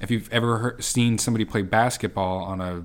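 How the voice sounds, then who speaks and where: Speaking at a fairly slow pace, a man with fairly low pitch has an ordinary speaking voice. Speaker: podcast co-host.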